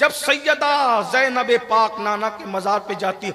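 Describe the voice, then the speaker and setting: A man's raised, projected voice, high in pitch with very wide pitch swings, over noticeable background noise. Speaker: Islamic scholar delivering a religious sermon (bayan). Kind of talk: religious sermon about Karbala, delivered to a public gathering.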